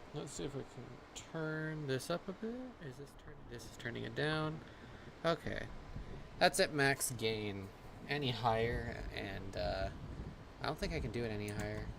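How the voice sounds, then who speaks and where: Amid noticeable background noise, a man speaks at a moderate pace with big swings in loudness and long, frequent pauses. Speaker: gaming livestreamer. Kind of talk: live gameplay commentary. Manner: soft-spoken. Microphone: mic volume set too low, quiet.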